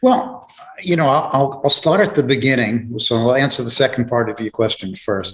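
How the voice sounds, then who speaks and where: Against a quiet background, a man speaks with a New York accent at a medium pitch. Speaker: author and grief specialist. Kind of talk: interview. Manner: halting, many fillers.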